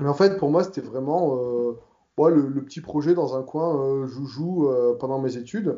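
A man speaks at a fairly slow pace, his voice fairly high-pitched with ordinary pitch variation. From southern France (Provence). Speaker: software developer. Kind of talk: casual interview. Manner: hesitant, many fillers.

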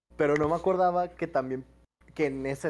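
This recording is very clean, with a silent background. A man speaks with a Mexican accent. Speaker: sports podcast co-host. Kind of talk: casual chat.

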